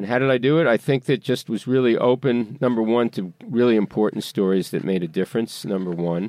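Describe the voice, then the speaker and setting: A man with an American accent has an ordinary speaking voice at a medium pitch. He talks at a fairly quick pace with ordinary pitch variation. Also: hardly any pauses. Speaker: veteran newspaper editor and journalist. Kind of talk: interview.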